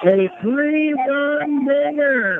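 The tone is excited and animated, with noticeable background noise behind it. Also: man. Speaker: radio sports commentator. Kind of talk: live baseball commentary. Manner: excited, exclaiming, animated.

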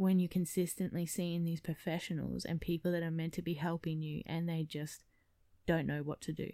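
Speaking fairly quickly in an Australian accent, a woman keeps a flat, monotone delivery. Her tone is dark and mellow, and her pitch sits fairly low. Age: 20s. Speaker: podcast host. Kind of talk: personal testimony monologue. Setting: at home.

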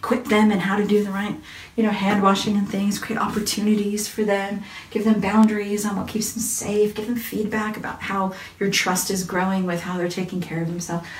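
In an American accent, the voice moves at a fairly quick pace with a warm tone and flat, monotone intonation, over noticeable background noise. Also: woman, medium pitch for a woman. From US. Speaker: parenting and faith speaker. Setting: Facebook Live, online video. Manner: warm, chatty.

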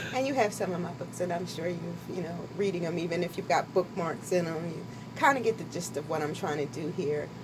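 Over noticeable background noise, a woman with a fairly low pitch speaks at a fairly quick pace with ordinary pitch variation. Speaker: author. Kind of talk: casual radio interview. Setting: radio studio.

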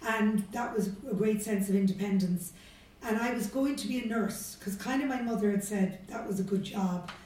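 Recorded with noticeable background noise and audible room echo, a woman speaks at a medium pitch in a Cork accent. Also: fairly even intonation, moderate pace. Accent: Cork Irish. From Ireland, Cork city. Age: 50s. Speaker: business executive. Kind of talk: interview.

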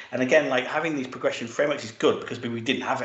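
Speaking very fast with a British accent, a man keeps his intonation fairly even over noticeable background noise. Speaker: tech executive. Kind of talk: panel discussion.

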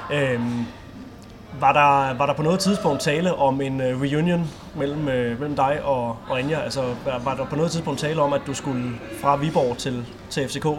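A man talks at a fairly slow pace with fairly high pitch and fairly even intonation. Room echo is audible, and background noise is noticeable. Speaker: sports podcast host. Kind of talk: interview; scripted outro.

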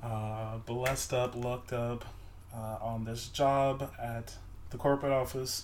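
A man's medium-pitched voice with an American accent, monotone, flat intonation, fairly slow pace and audible room echo. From Augusta, Georgia (US South), military brat. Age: 20s. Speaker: podcast guest, friend of host. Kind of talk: casual chat.

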